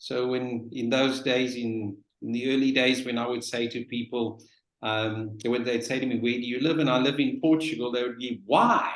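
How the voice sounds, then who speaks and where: A man with a medium pitch speaks at a moderate pace in a flat, monotone delivery. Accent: South African. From South Africa. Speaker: real estate professional. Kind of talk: webinar panel talk.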